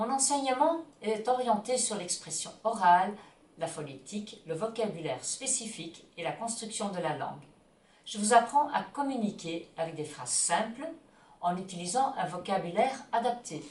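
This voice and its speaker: Amid audible room echo and noticeable background noise, a woman with a Dutch accent speaks at a moderate pace and medium pitch, with very wide pitch swings and big swings in loudness. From Belgium (Flemish). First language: Dutch (speaking French). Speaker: Dutch teacher and ski instructor. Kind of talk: self-introduction promo.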